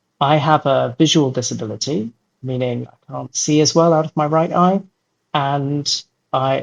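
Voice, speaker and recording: Heard in an English accent with ordinary pitch variation, the voice sounds dry and close with no echo against a quiet background. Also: man. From London, England. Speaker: children's book author. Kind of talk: interview.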